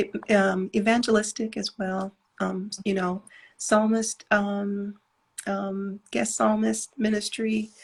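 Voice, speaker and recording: Soft-spoken and somewhat breathy, the voice moves at a very slow pace with a monotone, flat intonation. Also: woman, medium pitch for a woman. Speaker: gospel singer and songwriter. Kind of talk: casual interview.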